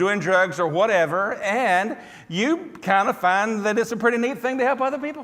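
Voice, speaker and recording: An animated man speaks with a Southern US accent at a moderate pace with ordinary pitch variation. Audible room echo surrounds his voice. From US South, Tennessee. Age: 60s. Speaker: preacher. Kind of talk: sermon.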